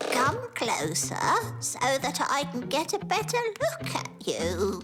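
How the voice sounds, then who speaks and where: Over clear music in the background, a cartoonish character voice moves at a fairly slow pace. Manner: polite, genteel.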